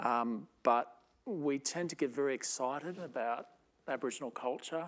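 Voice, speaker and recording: A man with an Australian accent speaks at a fairly slow pace with ordinary pitch variation. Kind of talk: panel discussion. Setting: stage with audience, amplified speaker.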